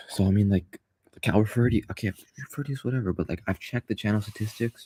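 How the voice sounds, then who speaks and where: Speaking at a very fast pace, a man has a fairly low pitch and a somewhat breathy voice. His loudness swings widely, while his pitch variation is ordinary. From Canada. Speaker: graphic designer and content creator. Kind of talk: casual monologue vlog. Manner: halting, many fillers.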